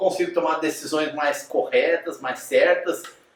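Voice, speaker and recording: There is audible room echo around this recording. A man speaks at a fairly slow pace. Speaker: teacher. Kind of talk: lecture.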